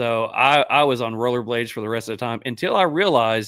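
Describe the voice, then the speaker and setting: With an American accent, a man has an ordinary speaking voice at a medium pitch and moderate pace. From Central Florida. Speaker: podcast host. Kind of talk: casual chat.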